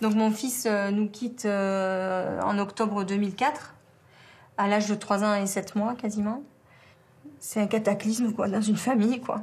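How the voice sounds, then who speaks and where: A woman speaks fairly slowly at a medium pitch, somewhat breathy and with very even loudness. Her intonation is monotone and flat, broken by long, frequent pauses. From southern France, around the Étang de Berre. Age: 40s. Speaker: bereaved mother. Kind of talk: testimony. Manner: halting, many hesitations.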